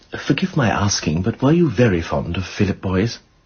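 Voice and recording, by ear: A man in a put-on character voice, low-pitched, with a husky, rough edge, a slightly mellow tone, big pitch swings and a fairly quick pace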